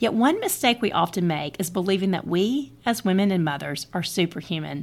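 A plain, everyday voice, a woman at medium pitch with ordinary pitch variation. She talks at a moderate pace on a very clean recording with a silent background. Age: 40s. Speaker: podcast host and author. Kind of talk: speech at a birthday party. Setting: party with audience.

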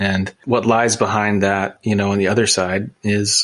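An unremarkable speaking voice in an American accent, at a fairly slow pace. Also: man. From US, small town. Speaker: podcast host. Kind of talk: casual interview chat.

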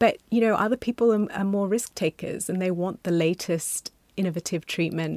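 A woman at medium pitch and moderate pace, with an unremarkable speaking voice, in a dry, close sound with no echo on a very clean recording with a silent background. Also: ordinary pitch variation. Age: 40s. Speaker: doctor. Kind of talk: casual chat.

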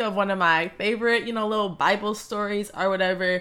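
In a very clean recording with a silent background, a woman speaks in a normal speaking voice at medium pitch with an American accent. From Wisconsin, US Midwest. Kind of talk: solo podcast monologue, faith talk. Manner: reflective, sincere, filler words.

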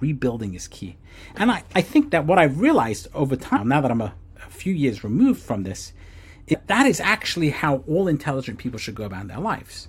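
A man's fairly high, vocal-fry voice at a fairly quick pace, with very wide pitch swings and big swings in loudness. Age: 40s. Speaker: podcast host, former rabbi and startup founder. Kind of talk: personal reflective monologue. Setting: home recording with books behind, also on video.

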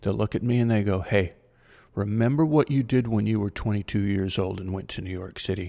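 In an American accent, a man speaks with a fairly low pitch and a dark, mellow tone on a very clean recording with a silent background. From US Midwest (Ohio). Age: 60s. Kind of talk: solo monologue podcast. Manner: halting, many fillers.

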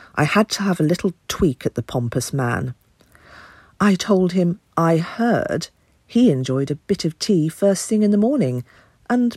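In a very clean recording with a silent background and a dry, close sound with no echo, a woman with a British accent speaks fairly slowly in a somewhat breathy, fairly low voice with very wide pitch swings. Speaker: voice actor playing an aunt. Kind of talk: cozy mystery audio drama, letter read in character. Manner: prim, tart, huffy older English lady voice, sardonic and gossipy.

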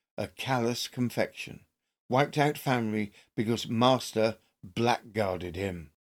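A man has an unremarkable speaking voice at a medium pitch and fairly slow pace. The recording is very clean, with a silent background. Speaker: true crime podcast host. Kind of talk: newsreading of period newspaper accounts; scripted narration. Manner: formal, measured, grave; steady, deliberate narration.

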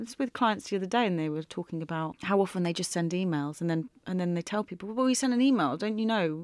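The speech races along at a very fast pace with lively intonation and hardly any pauses. The recording is very clean, with a silent background. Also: woman, medium pitch for a woman. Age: 40s. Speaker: podcast co-host, consultant. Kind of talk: casual chat.

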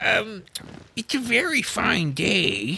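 A fairly high-pitched, put-on character voice carries the clip. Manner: timid, anxious.

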